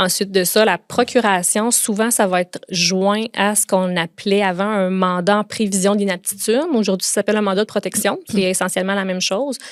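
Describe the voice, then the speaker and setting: A woman speaks at a moderate pace and medium pitch in a Quebec accent, with fairly even intonation. The recording is very clean, with a silent background and a dry, close sound with no echo. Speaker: lawyer. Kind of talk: podcast interview.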